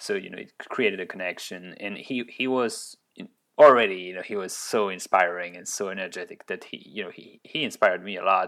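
Speaking with a French accent at a fairly quick pace, the voice shows ordinary pitch variation and big swings in loudness on a very clean recording with a silent background. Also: man, fairly low pitch for a man. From France, Orleans. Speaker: tech startup founder and CEO. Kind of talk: interview. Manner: hesitant, many repeated words and fillers.

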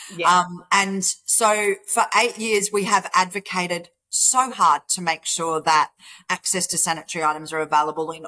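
A woman with an Australian accent, fairly low in pitch with a bright, sharp tone, ordinary pitch variation and a moderate pace, in a dry, close sound with no echo. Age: 50s. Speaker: charity founder. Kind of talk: interview.

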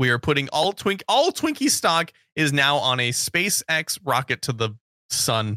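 Lively intonation with a bright, sharp tone, at a fairly slow pace with very even loudness and a dry, close sound with no echo. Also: man, fairly high pitch for a man. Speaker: podcast co-host. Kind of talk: casual banter.

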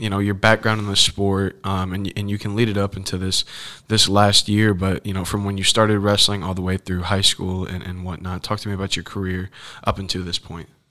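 In a normal speaking voice, a man talks with fairly low pitch and fairly even intonation on a very clean recording with a silent background. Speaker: student wrestler and podcast host. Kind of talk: casual interview.

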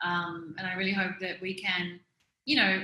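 This woman has an Australian accent and a fairly low pitch. Her intonation is monotone and flat. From Melbourne, Australia. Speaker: fashion brand founder. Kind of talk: interview. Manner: hesitant, many fillers.

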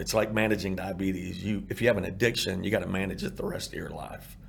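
A man speaks with a Texan accent. His pitch sits fairly low. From Texas, Irving. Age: 50s. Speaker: former coach, addiction recovery nonprofit founder. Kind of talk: testimony.

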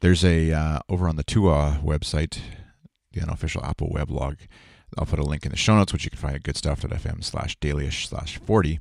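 A man speaks with a very deep, low pitch and vocal fry. His pitch varies in an ordinary way on a very clean recording with a silent background. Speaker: podcast host. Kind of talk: solo podcast monologue with ad read. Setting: home recording before work. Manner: casual, rambling with fillers.

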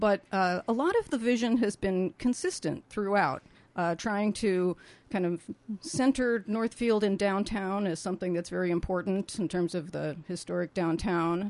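A woman talks at a moderate pace with medium pitch and ordinary pitch variation, in a normal speaking voice. The background is quiet. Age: 60s. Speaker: planning commission member. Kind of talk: radio interview. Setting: studio.

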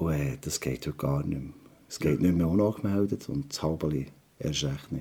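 Very deep, low male voice in a Swiss accent, dark and mellow in tone, at a moderate pace. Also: ordinary pitch variation. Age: 50s. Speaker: restaurateur and trained chef. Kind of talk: interview. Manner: halting, many filler sounds.

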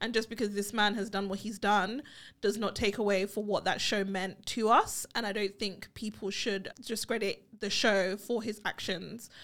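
A woman with a British accent and a medium pitch speaks at a moderate pace in an animated tone, with hardly any pauses. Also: very clean recording, silent background. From England. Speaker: podcast co-host. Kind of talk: casual chat.

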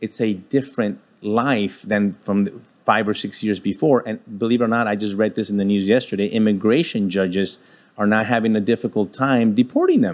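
This man has an unremarkable speaking voice and a fairly low pitch. He talks at a fairly quick pace with fairly even intonation. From Texas (El Paso). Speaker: retired federal agent. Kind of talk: interview.

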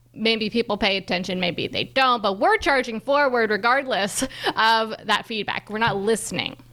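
Speech at a middling speed, with pitch moving in a normal way, comes through clear background noise. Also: woman, fairly high pitch for a woman. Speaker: podcast host. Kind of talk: casual interview chat.

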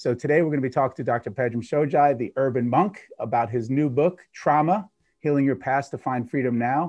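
Here is an ordinary speaking voice, moving at a fairly quick pace with ordinary pitch variation. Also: man, medium pitch for a man. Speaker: podcast host and gut health expert. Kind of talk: casual interview chat.

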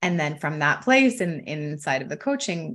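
Over a quiet background, a woman with a Canadian accent speaks fairly quickly at a very deep, low pitch. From Canada, Ontario. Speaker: wealth coach. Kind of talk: casual interview chat.

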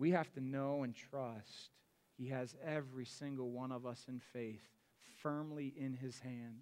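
In a flat monotone at medium pitch, this man talks fairly slowly. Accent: Midwestern American. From US Midwest (Akron, Ohio). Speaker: pastor. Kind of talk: sermon. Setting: church.

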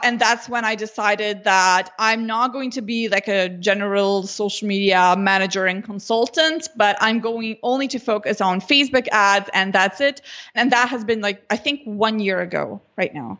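With a Slovenian accent, a woman talks at a moderate pace with hardly any pauses, her fairly high pitch showing ordinary variation. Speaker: Facebook ads consultant. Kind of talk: interview.

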